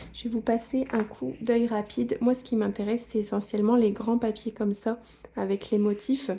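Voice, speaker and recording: Her fairly high voice has a dark, mellow tone and is somewhat breathy. The woman keeps a moderate pace with monotone, flat intonation. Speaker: scrapbooking YouTuber. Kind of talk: product haul review. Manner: casual, with frequent hesitations.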